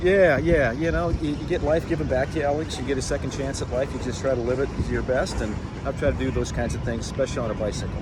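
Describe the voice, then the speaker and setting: With hardly any pauses, a man talks very fast at a medium pitch with lively intonation over noticeable background noise. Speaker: baseball radio play-by-play announcer. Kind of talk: casual interview answer. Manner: friendly, conversational.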